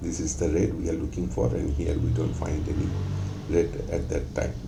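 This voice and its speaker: Audible room echo surrounds a man whose voice is very deep and low in pitch. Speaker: forex trading analyst. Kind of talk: tutorial. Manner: hesitant with many fillers.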